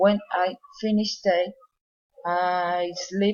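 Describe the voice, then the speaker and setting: A woman with a Colombian accent and fairly even intonation. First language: Spanish. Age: 20s. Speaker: psychology student and police worker. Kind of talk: English class speaking exercise. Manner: halting.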